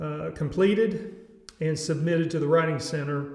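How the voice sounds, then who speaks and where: Over noticeable background noise and audible room echo, a man with a Southern US accent talks at a moderate pace in a fairly high pitch with ordinary pitch variation. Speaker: educator, music teacher. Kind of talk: tutorial. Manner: casual, halting with fillers.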